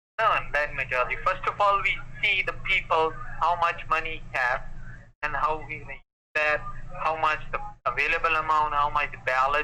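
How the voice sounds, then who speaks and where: A man's moderate-paced speech with a South Asian accent, fairly even intonation, and long, frequent pauses. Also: fairly high pitch for a man. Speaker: phone scammer. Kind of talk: phone sales pitch.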